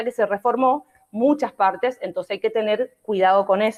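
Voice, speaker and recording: A woman speaks at a fairly quick pace in a fairly high voice, with fairly even intonation. The sound is dry and close, with no echo. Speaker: law professor. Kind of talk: online lecture. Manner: fast.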